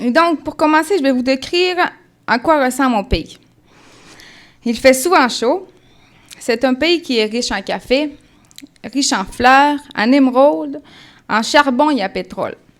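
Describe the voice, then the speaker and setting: Her lively intonation carries a high-pitched voice with a slight Colombian accent. The woman leaves long, frequent pauses. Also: fairly slow pace. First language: Spanish (speaking French). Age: 20s. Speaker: church member giving testimony. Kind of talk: testimony. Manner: halting.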